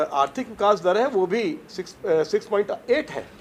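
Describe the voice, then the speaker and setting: Noticeable background noise surrounds a man. His high pitch moves with lively intonation. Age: 70s. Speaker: politician. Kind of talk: press interview. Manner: halting, many fillers; animated.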